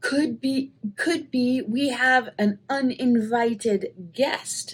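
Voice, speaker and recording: A woman puts on a high-pitched character voice and speaks at a very slow pace. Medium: read story.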